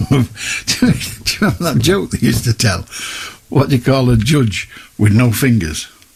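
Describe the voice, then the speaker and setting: This man talks at a fairly quick clip, his medium-pitched voice carrying vocal fry. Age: 70s. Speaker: radio phone-in host. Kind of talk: casual chat.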